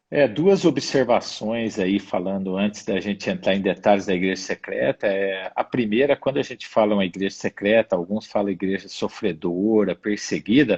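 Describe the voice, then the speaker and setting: A man talks at a moderate pace with hardly any pauses and ordinary pitch variation. His pitch is fairly low, and the sound is dry and close with no echo. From Brazil, interior of São Paulo state. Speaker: missionary. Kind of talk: interview testimony. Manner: halting.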